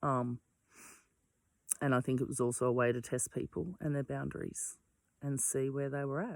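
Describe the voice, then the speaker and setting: A woman speaks with a very deep, low pitch at a fairly slow pace. The recording is very clean, with a silent background and a dry, close sound with no echo. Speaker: vlogger on personal mental health. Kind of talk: reflective monologue. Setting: outdoors. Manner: loud; hesitant, many fillers.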